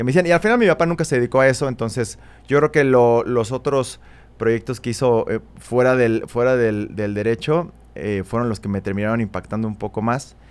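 A man with a Mexico City accent speaks at a fairly quick pace, his medium-pitched voice showing ordinary pitch variation. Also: very clean recording, silent background. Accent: Mexico City Spanish (chilango). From Mexico City (Coyoacán). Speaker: photographer. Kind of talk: interview. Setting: studio. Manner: casual, hesitant fillers.

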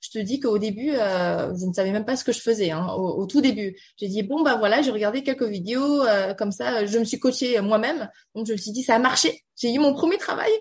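Somewhat breathy, a woman speaks at a fairly quick pace and fairly high pitch. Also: ordinary pitch variation. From Beijing, China (French schooling). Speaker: tech community founder and banker. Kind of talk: radio interview. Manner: halting, many fillers.

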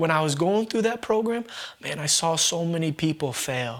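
A man speaks in a normal speaking voice with an American accent. His pace is fairly slow and his intonation lively. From US Northeast, Vermont. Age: 20s. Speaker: ministry leader, former addict. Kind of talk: testimony.

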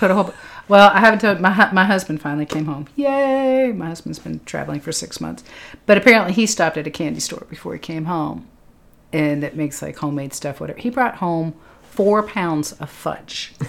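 A woman's normal speaking voice with an American accent, fairly low in pitch, at a fairly quick pace with lively intonation and big swings in loudness, in a very clean recording with a silent background. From Lexington, Massachusetts. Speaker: triathlon podcast host and coach. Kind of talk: casual chat. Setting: studio.

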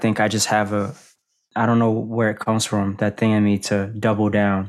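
A man with an American accent, fairly low pitch, monotone, flat intonation and a moderate pace, in a very clean recording with a silent background. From Boston, US. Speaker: rapper. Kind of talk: casual chat.

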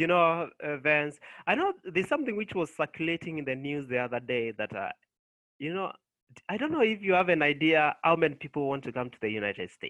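Lively in intonation, a man speaks at a fairly high pitch with a Kenyan accent. He keeps a fairly quick pace. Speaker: nurse. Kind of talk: casual interview.

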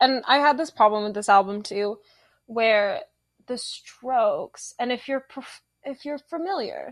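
Against a quiet background, a woman speaks at a fairly slow pace in a high-pitched voice with lively intonation. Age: 20s. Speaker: student newspaper copy editor. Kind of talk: casual chat. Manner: animated.

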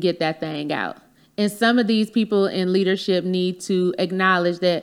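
Here a woman speaks at a moderate pace and medium pitch. The recording is very clean, with a silent background. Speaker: podcaster and educator. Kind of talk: casual chat, podcast interview.

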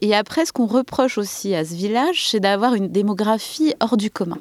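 Over noticeable background noise, a woman speaks with lively intonation at a fairly quick pace and fairly high pitch. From Saint-Denis, Paris region. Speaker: artist, village resident. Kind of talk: interview.

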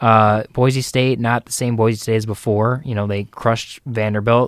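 In a very clean recording with a silent background, a man has a normal speaking voice at a medium pitch. He talks at a moderate pace with fairly even intonation, the sound dry and close with no echo. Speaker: sports co-host. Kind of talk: casual chat. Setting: studio.

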